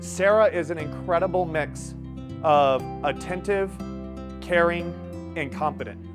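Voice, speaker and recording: With music in the background, a man talks at a fairly slow pace, leaving long, frequent pauses. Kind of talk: client testimonial to camera.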